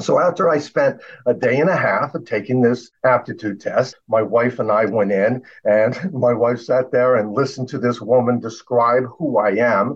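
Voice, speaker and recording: A man's unremarkable speaking voice at medium pitch, with ordinary pitch variation and a moderate pace. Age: 60s. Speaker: inventor. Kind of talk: casual chat.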